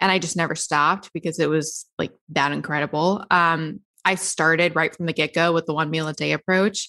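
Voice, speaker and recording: A woman with an American accent has a normal speaking voice, fairly low in pitch, and she talks fairly quickly. The sound is dry and close with no echo, on a very clean recording with a silent background. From US South. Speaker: podcast host and diet author. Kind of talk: casual interview.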